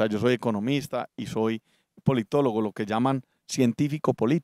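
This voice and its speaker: Dark and mellow in tone, a man speaks at a moderate pace. The sound is dry with no echo, and the background is quiet. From Colombia, Antioquia (Medellín). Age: 40s. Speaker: political candidate and businessman; candidate. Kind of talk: political interview. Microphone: handheld.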